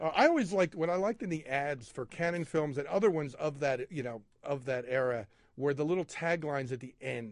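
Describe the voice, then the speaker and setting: In an unremarkable speaking voice, a man talks fairly quickly at a fairly high pitch, with ordinary pitch variation. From Philadelphia area. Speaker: arts and entertainment editor at a newspaper. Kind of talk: casual chat. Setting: studio.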